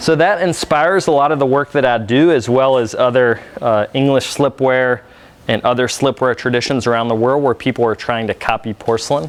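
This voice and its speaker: A man with an American accent talks at medium pitch and a moderate pace, with ordinary pitch variation and noticeable background noise. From Virginia, US South. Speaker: studio potter, workshop leader. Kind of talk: live demonstration workshop. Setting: workshop room with audience. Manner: casual, conversational with fillers.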